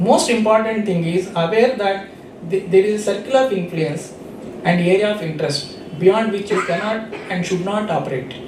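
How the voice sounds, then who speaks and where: Moderate-paced, high-pitched speech from a man, amid noticeable background noise and audible room echo. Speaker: invited speaker. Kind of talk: motivational talk. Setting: stage with audience.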